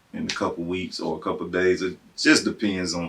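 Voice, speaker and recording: A man with a Southern US accent. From Tennessee. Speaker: civil engineer. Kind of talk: interview answer.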